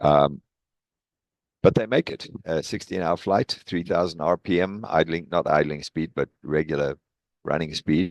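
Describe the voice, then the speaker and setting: With a South African accent, a man with a very deep, low pitch speaks at a fairly slow pace with fairly even intonation. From South Africa, East London. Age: 60s. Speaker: professor emeritus of engineering. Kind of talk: presentation talk. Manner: hesitant with fillers.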